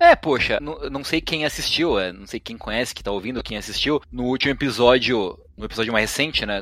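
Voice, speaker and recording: With a plain, everyday voice, a man talks at a fairly quick pace with lively intonation. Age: 30s. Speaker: streamer and game master. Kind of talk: casual chat.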